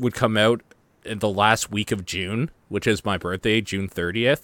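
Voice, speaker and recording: A man with a Canadian accent and a normal speaking voice talks at a moderate pace and medium pitch. The sound is dry and close with no echo, and the recording is very clean with a silent background. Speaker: gaming podcast host. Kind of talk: casual chat.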